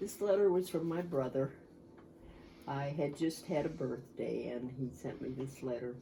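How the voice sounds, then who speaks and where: A woman speaks at a moderate pace in a very deep, low voice, dark, mellow and somewhat breathy, with ordinary pitch variation. Audible room echo surrounds her voice. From US Midwest, Cleveland, Ohio. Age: 80s+. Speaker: war-era eyewitness, grandmother. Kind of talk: oral history interview. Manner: reflective, with hesitations.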